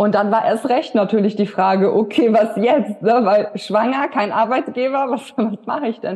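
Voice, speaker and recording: Speaking at a moderate pace with hardly any pauses, a woman has an ordinary speaking voice, fairly high pitch and ordinary pitch variation. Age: 30s. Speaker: women's health coach. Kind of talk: interview. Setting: in person.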